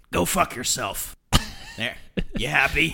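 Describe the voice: In a put-on character voice, a man talks raspily at a fairly slow pace. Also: medium pitch for a man.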